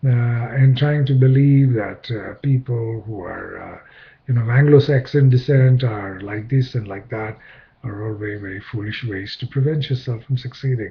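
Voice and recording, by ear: A man speaks at a moderate pace with ordinary pitch variation and a husky, rough edge. He pauses only a few times. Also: medium pitch for a man.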